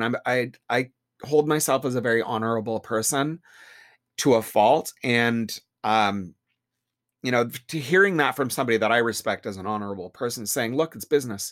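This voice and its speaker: On a very clean recording with a silent background, a man talks at a moderate pace in an unremarkable speaking voice, medium in pitch with ordinary pitch variation. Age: 50s. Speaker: salon owner and hairdresser. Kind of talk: casual interview.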